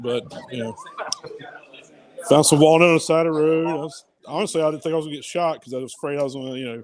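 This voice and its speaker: Mumbling at a very fast pace in a Southern US accent, a man with a fairly high pitch and ordinary pitch variation leaves long, frequent pauses as his loudness swings widely. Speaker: hobby woodworker. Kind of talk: casual chat. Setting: live stream from a workshop at a maker meetup.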